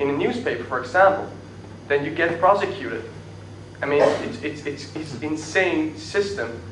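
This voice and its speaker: Noticeable background noise and audible room echo around a man's moderately paced speech. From Netherlands. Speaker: activist. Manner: halting.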